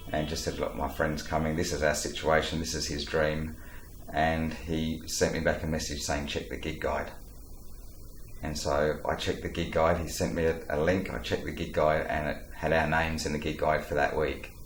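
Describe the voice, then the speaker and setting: In an Australian accent, a man with a very deep, low voice speaks at a moderate pace in a flat monotone, with audible room echo. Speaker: travel documentary host. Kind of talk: interview storytelling.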